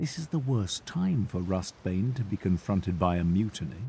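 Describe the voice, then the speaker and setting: With a dark, mellow, somewhat breathy tone, a man speaks at a moderate pace with very wide pitch swings, in a very clean recording with a silent background. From UK. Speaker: voice actor. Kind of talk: audiobook narration.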